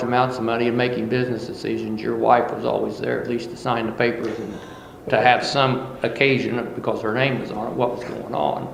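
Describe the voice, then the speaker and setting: Speaking at a fairly quick pace, a man uses a medium pitch and fairly even intonation, with audible room echo and noticeable background noise. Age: 60s. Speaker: farmer. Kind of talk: oral history interview.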